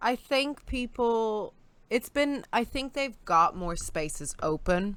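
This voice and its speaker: On a very clean recording with a silent background, a woman with an American accent speaks very slowly in a fairly high pitch with very wide pitch swings. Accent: sounds American. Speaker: guest co-host. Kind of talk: casual chat.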